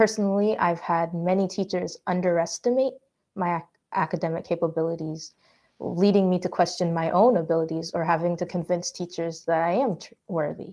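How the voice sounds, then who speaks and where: In a Canadian accent, a woman with a dark, mellow tone and fairly low pitch speaks at a fairly quick pace with fairly even intonation against a quiet background. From Canada, Haitian immigrant. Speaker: student panelist. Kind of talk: panel testimony.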